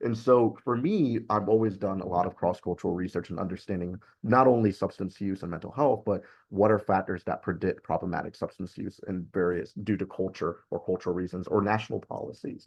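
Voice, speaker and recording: This man has a plain, everyday voice, pitched fairly low, with ordinary pitch variation. His pace is fairly quick. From born in Cuba, raised in the US. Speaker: university researcher. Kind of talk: webinar research presentation.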